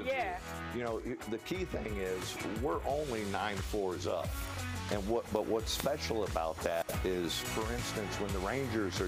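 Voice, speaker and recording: A man talks fairly slowly while clear music sounds behind him. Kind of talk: interview answer. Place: cafe. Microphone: lapel.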